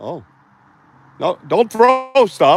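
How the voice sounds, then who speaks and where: A man talks with a Boston accent. The sound is dry and close, with no echo. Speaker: outdoor livestream host, Bigfoot researcher. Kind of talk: live outdoor vlog commentary. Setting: outdoors in the woods. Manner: casual, rambling, animated.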